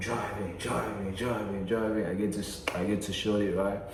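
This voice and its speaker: A man's relaxed, fairly low voice at a moderate pace, with audible room echo and noticeable background noise. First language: not English. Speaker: vlogger. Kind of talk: casual storytelling. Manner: relaxed, slangy.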